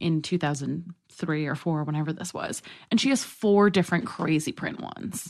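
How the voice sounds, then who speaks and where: A woman with an American accent has a normal speaking voice, fairly low in pitch, with ordinary pitch variation. She speaks at a moderate pace against a quiet background. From New York City. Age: 20s. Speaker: comedian and writer. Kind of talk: casual chat.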